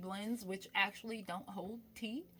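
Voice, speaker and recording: A woman with an American accent talks at a moderate pace, her fairly high pitch showing ordinary variation. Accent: switches between calm speech and Brooklyn. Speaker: spiritualist and tarot reader. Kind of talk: casual vlog monologue. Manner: casual, shifting between calm and animated.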